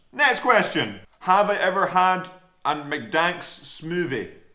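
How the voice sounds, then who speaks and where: Audible room echo surrounds the voice, which has an American accent. The tone is bright and sharp. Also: man. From Scotland. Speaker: rower and fitness vlogger. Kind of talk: Q&A vlog, casual chat.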